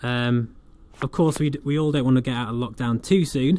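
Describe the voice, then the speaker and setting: Speaking fairly quickly with an East Midlands accent, a man uses a medium pitch, a dark, mellow tone and fairly even intonation. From England. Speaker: flight sim streamer. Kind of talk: livestream commentary with chat reading. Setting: home livestream. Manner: casual, chatty with fillers.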